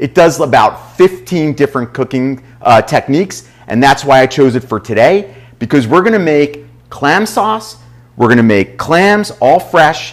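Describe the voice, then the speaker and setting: The setting behind the voice is quiet. At a moderate pace, a man is talking. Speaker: chef host. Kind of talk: cooking show presentation. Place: kitchen. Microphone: lapel.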